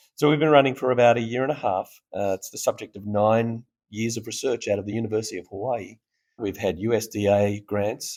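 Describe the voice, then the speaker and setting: Recorded very cleanly against a silent background, a man with an Australian accent speaks at a medium pitch and a fairly quick pace. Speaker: startup founder. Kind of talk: interview. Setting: conference festival floor. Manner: animated.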